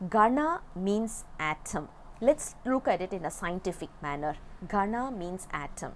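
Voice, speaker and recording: A woman with a Tamil accent at a medium pitch, very wide pitch swings and a fairly slow pace. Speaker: religious text teacher. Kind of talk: lecture. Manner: halting.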